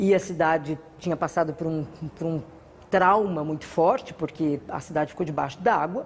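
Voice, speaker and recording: A woman speaks in a plain, everyday voice at a fairly low pitch and a moderate pace, with ordinary pitch variation. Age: 60s. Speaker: carnival group founder and cultural producer. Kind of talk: interview monologue.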